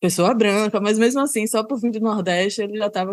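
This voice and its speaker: With a Salvador accent, a woman talks at a fairly quick pace. Her pitch variation is ordinary. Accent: northeastern Brazilian (Salvador). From Salvador, Bahia, Brazil. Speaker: service designer and researcher. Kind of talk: podcast interview.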